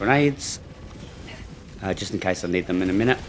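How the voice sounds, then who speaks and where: Fairly low male speech against noticeable background noise. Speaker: gaming video creator. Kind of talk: gameplay commentary. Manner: hesitant with many fillers.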